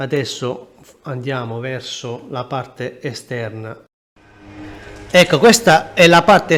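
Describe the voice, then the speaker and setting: A man speaks at a very slow pace in a fairly high pitch. His intonation is lively. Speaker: travel vlogger. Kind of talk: walking tour vlog narration. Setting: outdoors, walking through old town. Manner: quiet, soft-spoken.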